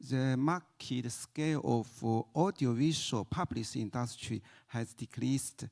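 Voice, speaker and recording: Speech in a Chinese accent comes at a very slow pace. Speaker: music industry researcher. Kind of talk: conference panel talk. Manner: halting.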